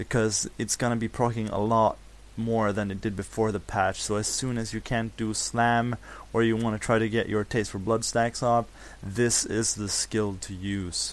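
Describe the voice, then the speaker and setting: With a non-native accent, a man talks at a moderate pace in a fairly low pitch, his intonation monotone and flat. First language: non-native English speaker. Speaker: gamer. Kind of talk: game tutorial voice-over. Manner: casual, unprepared.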